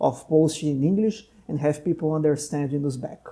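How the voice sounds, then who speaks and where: A man with a Portuguese accent speaks fairly quickly at a fairly high pitch in a dark, mellow tone. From Brazil. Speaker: doctor and podcast host. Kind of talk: casual interview conversation.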